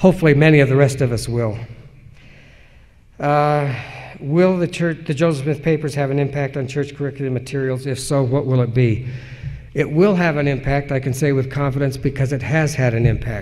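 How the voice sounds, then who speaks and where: Audible room echo surrounds the speech. It moves at a fairly quick pace with fairly even intonation. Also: man, fairly high pitch for a man. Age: 60s. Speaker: historian and editor. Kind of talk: conference lecture Q&A. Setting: conference lecture.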